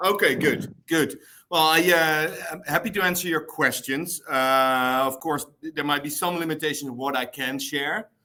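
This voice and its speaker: Fairly high in pitch, a man with a Dutch accent has a bright, sharp tone and ordinary pitch variation. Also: moderate pace. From Netherlands. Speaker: store manager. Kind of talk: interview.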